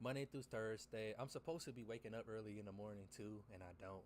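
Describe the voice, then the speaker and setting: This man talks at a fairly quick pace, his fairly low pitch held in fairly even intonation. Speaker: trading livestreamer. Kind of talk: casual livestream commentary. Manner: fast.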